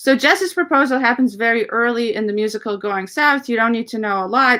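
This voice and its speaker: Bright and sharp in tone, a woman with a Russian accent talks at a very fast pace in a fairly high pitch with ordinary pitch variation. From Ukraine (Russian-speaking, Soviet era). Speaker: composer and lyricist. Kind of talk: interview. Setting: livestream.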